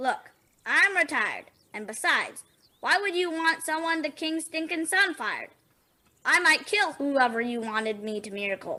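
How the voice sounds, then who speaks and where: In a put-on character voice, a woman talks at an extremely high pitch with very wide pitch swings. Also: moderate pace. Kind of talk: comic overacting. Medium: stage play. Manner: sarcastic, grumbling.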